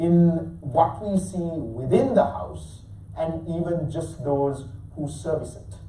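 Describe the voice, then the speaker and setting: With a Sri Lankan accent and a high pitch, a man speaks amid noticeable background noise and audible room echo. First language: Sinhala. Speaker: lecturer. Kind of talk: lecture.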